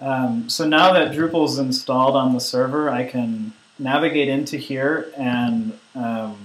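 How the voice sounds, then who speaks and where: Barely pausing, a man with a medium pitch and ordinary pitch variation speaks at a fairly slow pace. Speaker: online course instructor. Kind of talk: tutorial. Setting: conference call with screen sharing. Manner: hesitant, many fillers.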